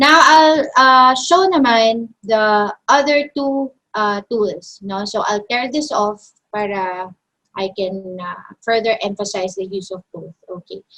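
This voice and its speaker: A woman's bright, sharp tone with lively intonation at a very slow pace. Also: fairly high pitch for a woman, big swings in loudness. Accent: Filipino. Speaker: design software instructor. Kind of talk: online tutorial.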